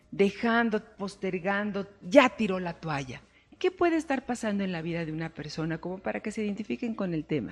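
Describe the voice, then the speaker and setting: A woman's voice comes out somewhat breathy. Her pitch swings very widely. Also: medium pitch for a woman, fairly quick pace. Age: 50s. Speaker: life coach and show host. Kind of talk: talk show interview.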